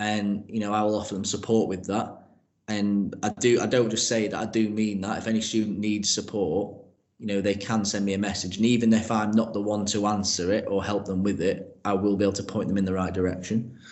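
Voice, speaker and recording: Audible room echo surrounds a man who speaks at a fairly quick pace in a fairly low pitch with monotone, flat intonation. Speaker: PE teacher and progress leader. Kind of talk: interview. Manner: loud.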